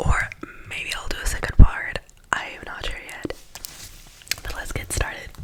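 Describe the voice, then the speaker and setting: Whispering at a moderate pace with long, frequent pauses comes through over noticeable background noise. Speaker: ASMR creator. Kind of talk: casual talk to camera. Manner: soft-spoken, whispered.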